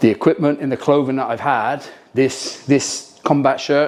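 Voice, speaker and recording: This man speaks with a British accent. His pitch is medium and his pace is moderate. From Britain. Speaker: military team leader. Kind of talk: gear review talk to camera. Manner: casual, hesitant with frequent ums.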